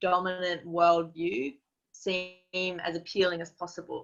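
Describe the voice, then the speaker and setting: A woman speaks with an Australian accent at a fairly low pitch. Her tone is bright and sharp. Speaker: activist and strategist. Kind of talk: webinar talk.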